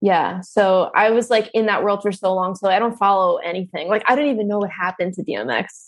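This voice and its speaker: Talking fairly quickly with hardly any pauses, a woman with a New Jersey accent uses a medium pitch and ordinary pitch variation. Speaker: comedian. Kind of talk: casual chat.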